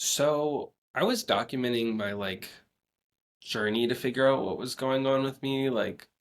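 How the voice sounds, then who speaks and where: A man talks in a plain, everyday voice at a medium pitch. His pace is fairly slow, with ordinary pitch variation. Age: 20s. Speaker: ALS awareness advocate on social media. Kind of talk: casual interview chat.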